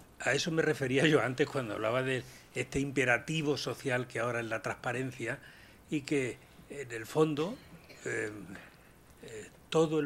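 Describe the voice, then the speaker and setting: Pausing long and often, a man talks at a moderate pace with a fairly high pitch and fairly even intonation. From Andalusia, Spain (Úbeda, Jaén). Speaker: panelist, business ethics speaker. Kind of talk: round table discussion.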